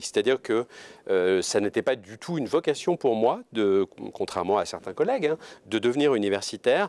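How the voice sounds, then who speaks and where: Pitch swings very widely in this dry, close recording with no echo, a very clean recording with a silent background. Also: man. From France, Orléans. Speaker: law professor. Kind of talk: interview. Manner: hesitant, many fillers.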